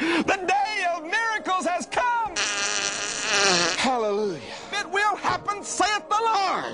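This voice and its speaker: A man at a very slow pace, with long, frequent pauses and loud background noise. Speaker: televangelist. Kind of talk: televangelist sermon. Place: studio.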